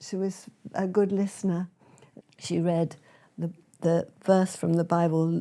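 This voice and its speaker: With a British accent, a woman with a dark, mellow tone speaks at a fairly slow pace in a monotone, flat intonation, taking long, frequent pauses. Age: 80s+. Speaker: speaker and author. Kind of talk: testimony.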